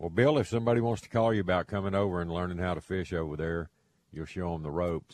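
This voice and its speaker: Very deep and low in pitch, a man speaks with a Texan accent at a very fast pace. His pitch varies in an ordinary way against a quiet background. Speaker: radio host, fishing guide. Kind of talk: call-in radio show. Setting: studio.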